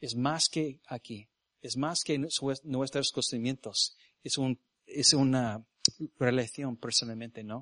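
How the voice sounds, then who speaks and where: With an English accent, a man speaks very slowly at a medium pitch, his intonation fairly even, in a dry, close sound with no echo. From US South, Mississippi. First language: English (speaking Spanish). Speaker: missionary preacher. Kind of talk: sermon. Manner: halting.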